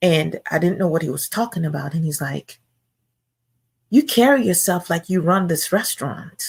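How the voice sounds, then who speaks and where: The woman's voice is somewhat breathy. She talks at a moderate pace, her intonation lively. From Nigeria. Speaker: guest Bible teacher. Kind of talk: sermon. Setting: live stream.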